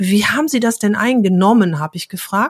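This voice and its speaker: The woman's voice is fairly high and somewhat breathy, moving at a moderate pace with ordinary pitch variation on a very clean recording with a silent background. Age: 50s. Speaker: pharmacy technician and trainer. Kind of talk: casual interview.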